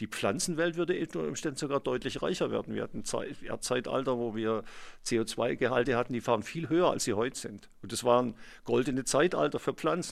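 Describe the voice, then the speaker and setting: A man's medium-pitched voice with vocal fry and lively intonation at a fairly quick pace, in a very clean recording with a silent background. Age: 60s. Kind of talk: interview, explanatory.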